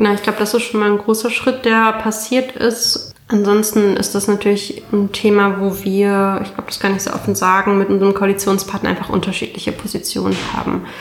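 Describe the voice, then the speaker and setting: A woman speaks at a fairly quick pace with hardly any pauses, her medium-pitched voice flat and monotone over noticeable background noise. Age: 20s. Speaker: state parliament member. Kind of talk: interview.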